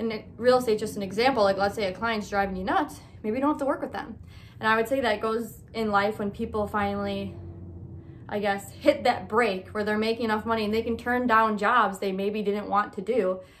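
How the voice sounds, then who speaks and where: A woman with a normal speaking voice talks at a fairly quick pace. Her pitch is fairly high and her intonation fairly even. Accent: American. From Michigan. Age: 20s. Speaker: podcast host. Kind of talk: casual monologue.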